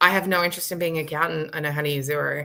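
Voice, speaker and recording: Speaking at a very fast pace, a woman with an Australian accent has a bright, sharp tone. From Australia, rural Victoria. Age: 30s. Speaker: author and visibility expert. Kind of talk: casual chat. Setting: live stream video call. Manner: animated.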